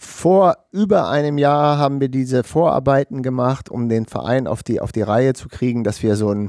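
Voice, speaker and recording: Dark and mellow in tone, the voice keeps a moderate pace with hardly any pauses and ordinary pitch variation, recorded dry with no echo against a quiet background. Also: man. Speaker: podcast co-host. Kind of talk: podcast conversation. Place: studio. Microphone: headset.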